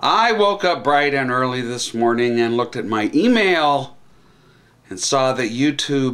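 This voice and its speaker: Fairly slow speech from a man, with quiet all around. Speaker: political vlogger. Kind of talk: political commentary vlog. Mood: sarcastic, indignant. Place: home room. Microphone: webcam.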